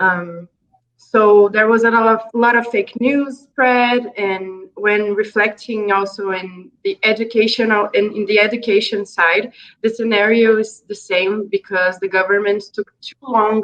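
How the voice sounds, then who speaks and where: A woman with a Brazilian Portuguese accent speaks in a fairly high pitch with monotone, flat intonation. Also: fairly slow pace. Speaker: NGO project manager. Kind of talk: interview. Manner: halting.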